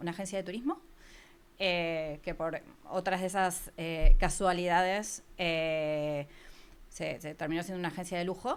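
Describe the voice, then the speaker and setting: A woman speaks with an Argentine accent at a medium pitch. Her pitch variation is ordinary. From Argentina, near Buenos Aires. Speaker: podcast marketing agency founder. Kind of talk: interview.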